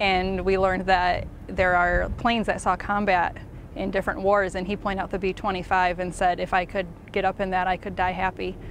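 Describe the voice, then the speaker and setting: At a fairly quick pace, a woman speaks in a monotone, flat way, with a dry sound, no echo and light background noise. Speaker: museum staff member. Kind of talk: interview answer. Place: open country.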